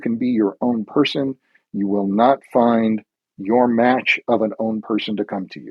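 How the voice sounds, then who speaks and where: A plain, everyday voice with ordinary pitch variation unfolds at a fairly slow pace. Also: man. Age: 60s. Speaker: life coach. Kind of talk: podcast interview.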